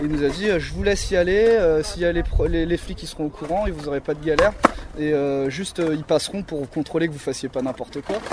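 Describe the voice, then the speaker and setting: Speech at a fairly quick pace with ordinary pitch variation comes through noticeable background noise. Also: man, fairly high pitch for a man. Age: 20s. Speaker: skateboarder and skate instructor. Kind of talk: casual interview. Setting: outdoors.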